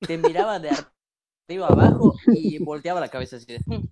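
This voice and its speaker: With a Mexican accent, a man talks at a moderate pace with ordinary pitch variation. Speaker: podcast co-host. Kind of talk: casual chat.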